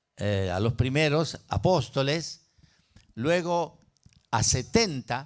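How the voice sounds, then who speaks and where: Delivered at a very slow pace, the speech swings very widely in pitch. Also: man. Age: 70s. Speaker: pastor. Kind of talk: sermon.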